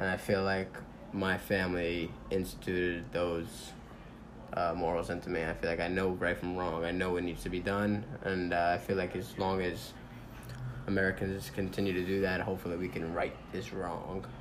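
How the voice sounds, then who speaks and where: A man speaks with a very deep, low pitch. His intonation is monotone and flat, and the room echo is audible. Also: moderate pace. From New York City (Manhattan). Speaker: interviewee. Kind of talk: interview.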